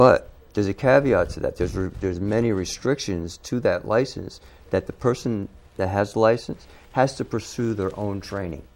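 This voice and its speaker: Fairly low in pitch with ordinary variation, a man talks at a moderate pace in an ordinary speaking voice. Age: 60s. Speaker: wildlife control operator. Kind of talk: interview.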